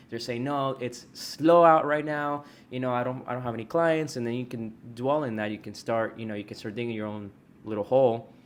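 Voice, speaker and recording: This man has an ordinary speaking voice with an American accent. He talks at a fairly quick pace with ordinary pitch variation. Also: medium pitch for a man. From Texas. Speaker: podcast host and loan officer. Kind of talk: casual interview.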